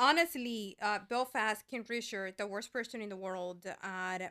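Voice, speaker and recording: On a very clean recording with a silent background, a woman speaks at a moderate pace and medium pitch, her tone bright and sharp and her pitch variation ordinary. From Colombia. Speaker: guest co-host, movie fan. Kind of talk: casual chat.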